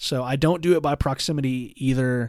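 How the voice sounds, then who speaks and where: The recording is very clean, with a silent background. A man speaks at a fairly slow pace in a medium pitch. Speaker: podcast host. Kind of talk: solo Q&A podcast.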